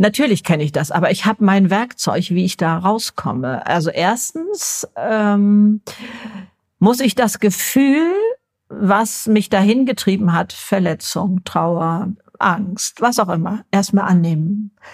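A woman speaks at a medium pitch and a very slow pace, somewhat breathy. Her intonation is lively, and the sound is dry and close with no echo. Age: 70s. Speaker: YouTuber and podcaster. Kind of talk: interview.

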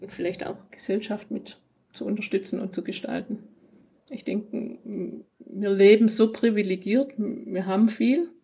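A woman's somewhat breathy, medium-pitched voice at a fairly slow pace, with ordinary pitch variation, big swings in loudness and long, frequent pauses. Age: 40s. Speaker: business owner of electrical installation firm and coach. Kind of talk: casual interview. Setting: in person at guest's office.

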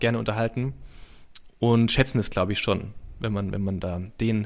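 Heard in a very clean recording with a silent background, a man speaks at a fairly quick pace with a slight Swabian accent. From Heidelberg, Baden-Württemberg. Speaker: comedy writer. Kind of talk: casual interview chat.

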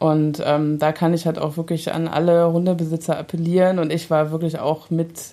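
A woman speaks at a moderate pace with hardly any pauses, in a fairly low pitch and a monotone, flat intonation. Background noise is noticeable. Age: 30s. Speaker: dog owner and mother. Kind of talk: casual chat.

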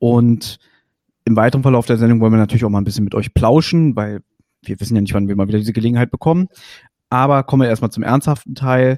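A man speaks very fast in a dark, mellow tone at medium pitch with ordinary pitch variation, yet leaves long, frequent pauses. The sound is dry and close with no echo, on a very clean recording with a silent background. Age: 30s. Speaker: podcast host. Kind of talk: casual interview.

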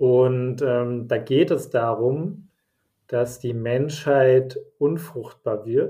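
Somewhat breathy and at medium pitch, a man speaks at a very slow pace with fairly even intonation. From Germany, Bavaria (Nuremberg) and Hesse (Frankfurt area). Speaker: podcast host. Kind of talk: casual chat. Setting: home office, remote recording.

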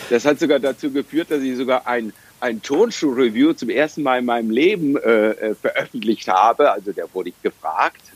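Using an ordinary speaking voice, a man talks at medium pitch and a moderate pace with lively intonation. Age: 50s. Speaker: triathlete. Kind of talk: interview.

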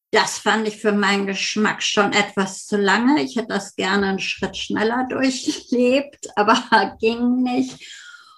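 A woman at a very slow pace with ordinary pitch variation, in a very clean recording with a silent background. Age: 60s. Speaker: family therapist and breast cancer survivor. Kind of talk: interview conversation.

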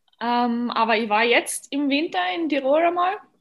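A woman with an Austrian accent speaks at a high pitch. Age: 20s. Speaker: professional figure skater. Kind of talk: podcast interview.

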